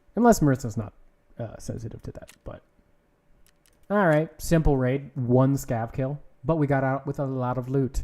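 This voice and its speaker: A man's dark, mellow voice at medium pitch with ordinary pitch variation, big swings in loudness, long, frequent pauses and a moderate pace. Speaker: video game streamer. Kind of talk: casual live gaming stream chat.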